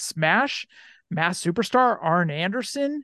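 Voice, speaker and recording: The background is quiet, and the sound is dry and close with no echo. A man speaks with lively intonation. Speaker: wrestling figure podcast host. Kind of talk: casual chat; reading aloud. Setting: video call.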